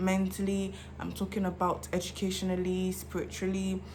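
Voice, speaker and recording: A woman is speaking. Her voice carries an audible room echo. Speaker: vlogger. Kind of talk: casual monologue. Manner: fast.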